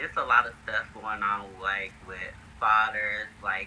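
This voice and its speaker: Noticeable background noise fills the clip. A man speaks through it at a fairly slow pace. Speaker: independent filmmaker. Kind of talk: interview. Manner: halting.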